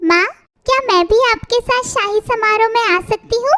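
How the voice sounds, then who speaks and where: In a squeaky, cartoonish character voice, a woman speaks at an extremely high pitch with ordinary pitch variation, very even loudness and a moderate pace, in a dry, close sound with no echo. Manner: soft, polite.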